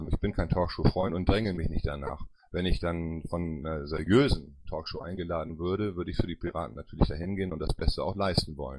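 Speaking at a fairly quick pace, a man with a very deep, low pitch shows vocal fry. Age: 50s. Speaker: politician and party board candidate. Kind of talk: panel Q&A interview.

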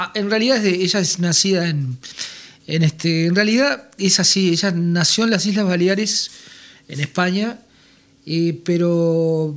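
A man talks at a fairly slow pace, his pitch high and his pitch variation ordinary.

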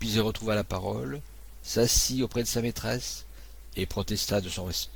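This natural reading voice rises and falls with ordinary pitch variation.

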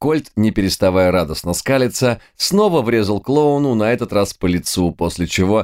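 Lively intonation marks the delivery. The text is read aloud in a natural voice.

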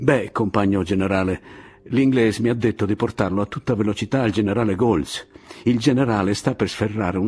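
The speaker reads aloud in a natural voice. The pitch moves in an ordinary way.

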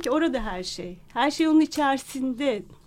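A woman at a fairly slow pace, with very wide pitch swings. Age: 50s. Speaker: radio listener and supporter. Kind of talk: radio interview. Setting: radio studio. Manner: hesitant.

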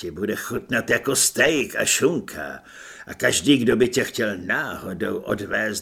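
A natural reading voice is heard here.

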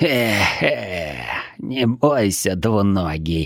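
A man uses a put-on character voice that is croaky, raspy, and hoarse, with a fairly low pitch. He speaks at a very slow pace. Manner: gloating, menacing.

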